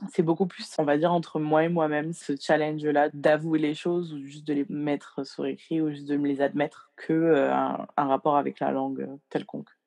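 The delivery moves at a moderate pace. There are hardly any pauses. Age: 20s. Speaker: makeup artist and poet. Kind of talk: casual interview. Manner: halting, many fillers.

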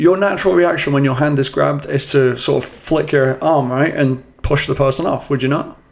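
A man at a fairly high pitch and a fairly quick pace, with hardly any pauses, fairly even intonation, very even loudness and noticeable background noise. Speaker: football podcast host. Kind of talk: casual banter about football. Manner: chatty, storytelling.

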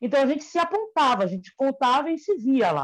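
High pitch from a woman, swinging very widely up and down. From Salvador, Bahia, Brazil. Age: 40s. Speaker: fashion designer and teacher. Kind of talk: casual interview.

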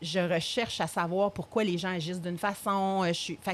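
The woman's voice sits at a medium pitch. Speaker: addiction therapist. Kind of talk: interview.

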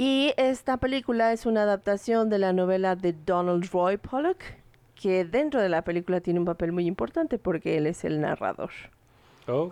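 With a Mexican accent, the voice has a dark, mellow tone, lively intonation and very even loudness, its sound dry and close with no echo over a quiet background. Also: woman, medium pitch for a woman, moderate pace. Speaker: podcast host. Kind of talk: casual chat.

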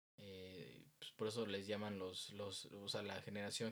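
A man's monotone, flat intonation at a moderate pace. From Mexico. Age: 20s. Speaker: youth group leader. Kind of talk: interview.

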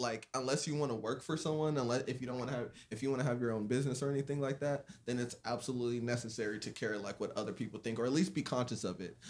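A man with an American accent at a very fast pace, fairly even intonation and hardly any pauses. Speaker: content creator guest. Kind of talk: casual conversation.

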